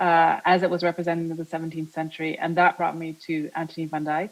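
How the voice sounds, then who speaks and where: A woman with a fairly low pitch speaks in a monotone, flat way. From born in the US, Dutch mother. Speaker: art historian giving a lecture, former museum curator. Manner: hesitant, many filler sounds.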